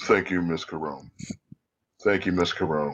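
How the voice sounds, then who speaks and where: Using a put-on character voice, a man drops to a very deep, low pitch. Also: moderate pace. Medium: actual play. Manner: stiffly formal, courteous.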